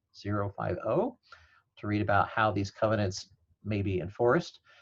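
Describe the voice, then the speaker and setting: A man speaks in a somewhat breathy voice. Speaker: law professor. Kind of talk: webinar presentation.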